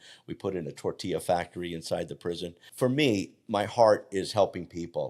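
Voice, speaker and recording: A man's very deep, low voice at a moderate pace, ordinary pitch variation, on a very clean recording with a silent background. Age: 60s. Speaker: health coach. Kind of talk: interview conversation.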